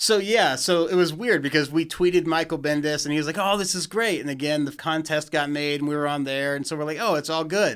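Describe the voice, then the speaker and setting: A man with a normal speaking voice talks at a fairly high pitch with ordinary pitch variation and hardly any pauses. The recording is very clean, with a silent background. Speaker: fan filmmaker. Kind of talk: casual chat.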